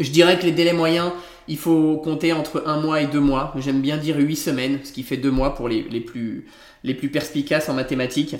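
A man's fairly high voice, monotone and flat, at a moderate pace. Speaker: interior architect and podcast host. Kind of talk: solo podcast monologue.

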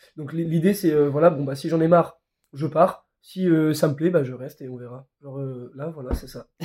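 Speaking at a moderate pace, a man with a fairly high pitch has a dark, mellow tone, a somewhat breathy quality and fairly even intonation. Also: big swings in loudness. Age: 20s. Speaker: young traveller. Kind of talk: casual chat.

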